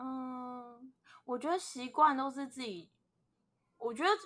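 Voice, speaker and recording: At a moderate pace, a woman speaks in a high voice with a bright, sharp tone. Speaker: podcast co-host. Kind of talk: casual chat.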